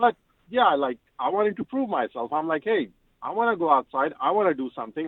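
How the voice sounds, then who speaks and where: Someone with a non-native accent talks at a very fast pace. The pitch swings very widely. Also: man. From Pakistan. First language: not English. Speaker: civil engineer. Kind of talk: radio interview.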